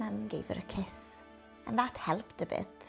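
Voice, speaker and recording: The delivery is fairly slow. Behind it, music can be heard. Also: woman. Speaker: actress and storyteller. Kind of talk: children's picture book reading.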